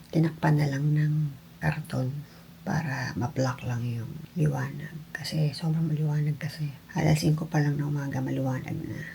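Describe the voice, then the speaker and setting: Soft-spoken and very deep in pitch, a woman talks with fairly even intonation over noticeable background noise. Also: moderate pace. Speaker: vlogger. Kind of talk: vlog.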